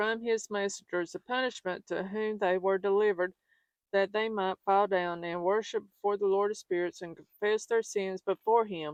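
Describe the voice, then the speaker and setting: A woman speaks with a Southern US accent and fairly even intonation. The sound is dry and close, with no echo. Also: medium pitch for a woman, moderate pace. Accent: Southern American. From Southern United States. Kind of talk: religious scripture reading. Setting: outdoors.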